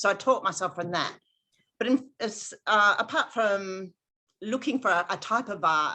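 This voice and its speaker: Bright and sharp in tone, a woman with an Australian accent talks at a moderate pace and medium pitch with ordinary pitch variation over a quiet background. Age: 60s. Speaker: astrologer. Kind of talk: interview.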